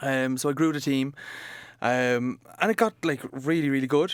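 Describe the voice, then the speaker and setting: A man speaks with an Irish accent at a medium pitch. His pitch varies in an ordinary way. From Ireland, Cork area. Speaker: coworking space manager. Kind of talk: podcast interview. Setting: coworking office.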